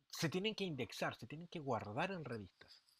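A man with a Chilean accent and lively intonation. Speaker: teacher and podcast host. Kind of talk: solo podcast monologue. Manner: casual, conversational.

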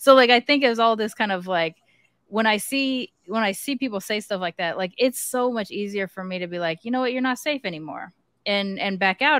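A woman with a normal speaking voice and medium pitch talks at a fairly quick pace with ordinary pitch variation, in a dry, close sound with no echo on a very clean recording with a silent background. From US, mixed Japanese heritage. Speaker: podcast co-host. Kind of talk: casual chat; show announcements.

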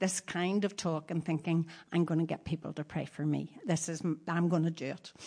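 This woman has a normal speaking voice, pitched fairly low, at a moderate pace. The background is quiet. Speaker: preacher's wife. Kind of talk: testimony.

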